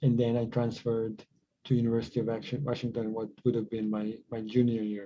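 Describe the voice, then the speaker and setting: The delivery is monotone, with flat intonation and a fairly quick pace. Its tone is dark and mellow. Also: man, medium pitch for a man. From Croatia / Bosnia (born in Sarajevo). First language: Croatian. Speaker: tech company co-founder. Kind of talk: podcast interview. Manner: halting, many repetitions and fillers.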